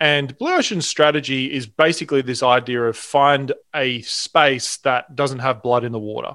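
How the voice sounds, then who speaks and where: On a very clean recording with a silent background, a man with an Australian accent speaks at a moderate pace with hardly any pauses. His pitch is medium and his intonation fairly even. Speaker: sales trainer and entrepreneur. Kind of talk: casual interview chat.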